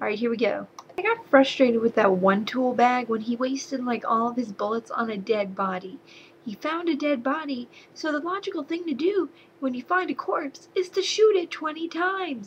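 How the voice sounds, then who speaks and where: Speaking with an American accent, a woman uses a high pitch with very wide pitch swings. Noticeable background noise sits behind her. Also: moderate pace. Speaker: movie reviewer. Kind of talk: casual video review. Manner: animated.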